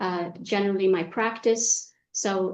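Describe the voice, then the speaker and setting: The pace is very slow. An American accent comes through. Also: woman. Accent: American-educated. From Egypt, raised partly in Saudi Arabia. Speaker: executive coach. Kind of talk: interview.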